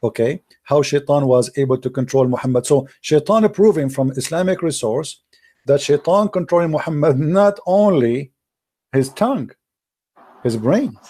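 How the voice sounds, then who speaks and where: A man with a fairly high pitch speaks at a moderate pace, somewhat breathy, with a dark, mellow tone. The recording is very clean, with a silent background. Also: lively intonation. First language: Arabic. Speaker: religious debater. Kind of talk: heated debate. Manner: animated.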